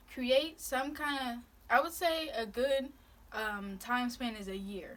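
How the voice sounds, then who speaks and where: Very slowly, a woman speaks with a high pitch. Noticeable background noise can be heard. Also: ordinary pitch variation. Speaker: vlogger. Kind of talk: casual chat while eating, giving advice. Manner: slurring words.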